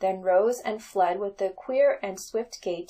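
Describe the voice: Plain reading aloud is what's heard. The text is read without embellishment.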